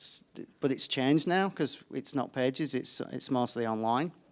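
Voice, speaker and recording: Someone with a British accent speaks at a moderate pace in a very clean recording with a silent background. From United Kingdom. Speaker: environment journalist. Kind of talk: panel discussion. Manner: hesitant, many fillers and restarts.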